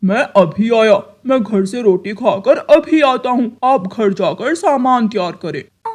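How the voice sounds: In a cartoonish character voice, the speaker uses a fairly high pitch and a fairly slow pace, with hardly any pauses.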